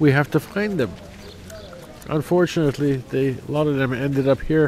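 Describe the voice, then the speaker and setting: This man's fairly high voice moves at a moderate pace, its pitch varying in an ordinary way over noticeable background noise. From Canada. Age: 60s. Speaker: memorial visitor. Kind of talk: emotional vox pop interview.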